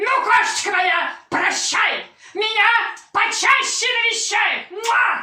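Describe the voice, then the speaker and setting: An extremely high, put-on character voice talks at a fairly slow pace. There is a slight echo. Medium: stage play. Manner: effusive, with grunts.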